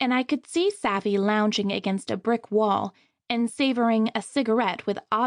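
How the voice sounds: A quiet background sits behind a natural reading voice.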